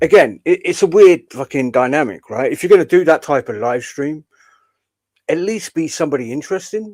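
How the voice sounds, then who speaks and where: A man with a southern English accent at a fairly quick pace, dry and close with no echo, on a very clean recording with a silent background. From southern England. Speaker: streamer, commentator. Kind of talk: live stream commentary.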